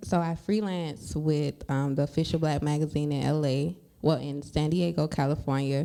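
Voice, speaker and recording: Over a silent background in a very clean recording, a woman with an American accent speaks at a moderate pace with hardly any pauses, her very deep, low voice dark and mellow, with ordinary pitch variation. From US South. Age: 20s. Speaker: journalist and writer. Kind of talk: podcast interview.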